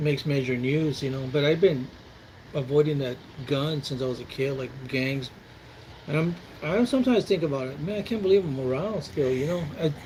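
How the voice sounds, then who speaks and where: A man with an American accent talks at a fairly quick pace in a plain, everyday voice, his pitch fairly high for a man and its variation ordinary. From Texas, San Antonio. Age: 60s. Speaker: military veteran. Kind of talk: casual chat.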